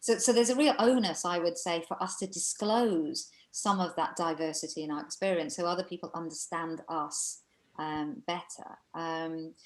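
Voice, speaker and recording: A woman speaks in a Welsh accent at a fairly low pitch. Her pitch varies in an ordinary way. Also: moderate pace. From Wales, Aberystwyth, Mid Wales. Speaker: coach and speaker on cultural bias. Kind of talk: webinar presentation Q&A.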